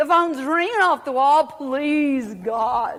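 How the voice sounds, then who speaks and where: Animated in tone, a woman speaks with a high pitch. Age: 60s. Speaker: inspirational speaker. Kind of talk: testimony.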